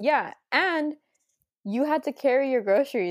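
A woman in an ordinary speaking voice talks at a moderate pace with lively intonation, recorded very cleanly against a silent background. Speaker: podcast co-host, recent graduate. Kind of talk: casual chat.

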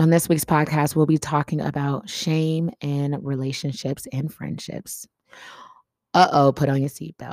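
At a fairly slow pace, a woman with a very deep, low pitch speaks in an animated tone. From US Midwest. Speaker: podcast host. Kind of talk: casual chat. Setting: home desk.

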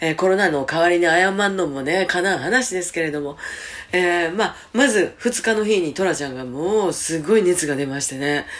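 Through noticeable background noise, a woman with a Kansai accent speaks at a moderate pace with a fairly low pitch and lively intonation. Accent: Kansai Japanese. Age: 50s. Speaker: radio host. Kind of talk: personal announcement.

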